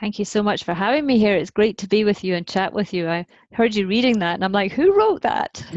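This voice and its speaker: With a Scottish accent, a woman talks at a very fast pace at a medium pitch with ordinary pitch variation, the sound dry and close with no echo. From Scotland. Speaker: parenting author. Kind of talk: podcast interview. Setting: remote call.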